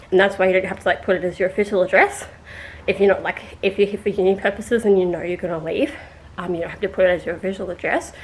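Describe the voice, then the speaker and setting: Over noticeable background noise, the speech comes at a very fast pace in an Australian accent. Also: woman. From Australia, rural New South Wales. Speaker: vlogger. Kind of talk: casual vlog storytelling.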